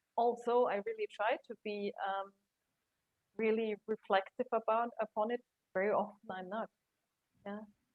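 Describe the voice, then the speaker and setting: The speaker has a German accent and fairly even intonation. The pace is fairly slow. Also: woman. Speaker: career coach and HR consultant. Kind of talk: interview.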